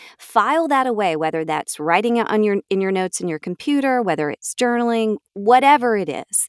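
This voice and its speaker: Talking at a fairly quick pace with hardly any pauses, a woman with an American accent sounds animated, her fairly high pitch swinging very widely in a dry, close recording with no echo. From US South, Georgia. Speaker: voiceover artist. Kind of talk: interview.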